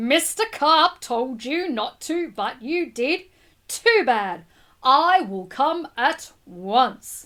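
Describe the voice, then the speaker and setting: Using a put-on character voice, a woman speaks at a high pitch and a very slow pace, with very wide pitch swings. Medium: read story.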